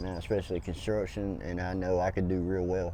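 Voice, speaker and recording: With a Southern US accent and a dark, mellow tone, the voice moves at a fairly quick pace amid audible room echo. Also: man. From US South, North Carolina. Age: 40s. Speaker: homeless man. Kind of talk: street interview.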